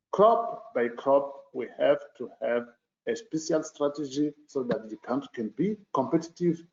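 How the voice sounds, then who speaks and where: A man with a non-native accent, fairly high in pitch, fairly slow, with very wide pitch swings. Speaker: government minister. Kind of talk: panel remarks. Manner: halting.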